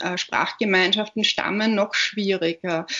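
Over noticeable background noise, a woman speaks at a medium pitch and a fairly slow pace. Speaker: author and literary scholar. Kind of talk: interview. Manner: hesitant, many fillers.

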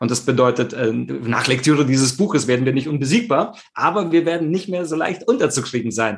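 Somewhat breathy and fairly high-pitched, a man talks with lively intonation and hardly any pauses. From Italy, Rome. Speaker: communication trainer and keynote speaker. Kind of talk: interview. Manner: hesitant with many fillers.

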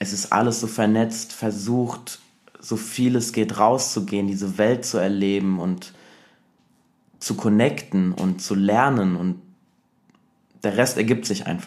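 Speaking at a very slow pace with long, frequent pauses, a man uses a fairly low pitch and fairly even intonation. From Germany, Saarland. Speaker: dancer. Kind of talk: casual chat.

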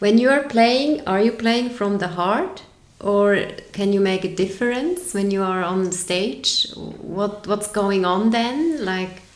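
In a German accent, a woman speaks very slowly at a medium pitch with ordinary pitch variation, and audible room echo is present. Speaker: podcast host, yoga teacher. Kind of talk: interview.

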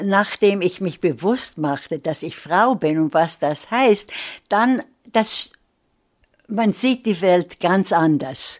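Against a silent background on a very clean recording, a woman speaks very slowly at a medium pitch, with lively intonation and long, frequent pauses. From Vienna, Austria (emigrated as child to US). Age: 80s+. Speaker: literary scholar, gender studies professor. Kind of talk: interview. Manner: halting.

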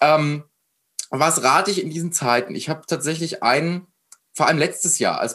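A man talks in an animated tone at a moderate pace. His pitch is fairly high. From Germany, Frankfurt area. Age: 20s. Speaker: mindset coach. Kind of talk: interview conversation.

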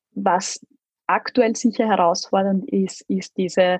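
At a very slow pace, a somewhat breathy voice with ordinary pitch variation is heard in a dry, close sound with no echo. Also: woman. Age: 30s. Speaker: corporate spokesperson. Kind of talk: interview.

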